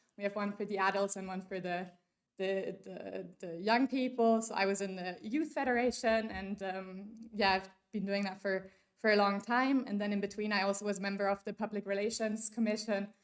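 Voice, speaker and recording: Using fairly even intonation, a woman with a German accent speaks at a moderate pace and medium pitch. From Germany. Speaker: workshop speaker. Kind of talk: conference talk. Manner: casual, many fillers.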